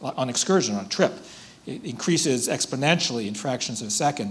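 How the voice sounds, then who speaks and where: The man's intonation is lively throughout. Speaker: speaker. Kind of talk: lecture. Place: hall. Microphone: podium.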